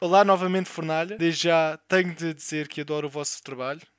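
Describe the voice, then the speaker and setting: The speaker has a European Portuguese accent and a fairly quick pace. Intonation stays fairly even on a very clean recording with a silent background. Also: man. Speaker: podcast co-host, film and series reviewer. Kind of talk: casual chat.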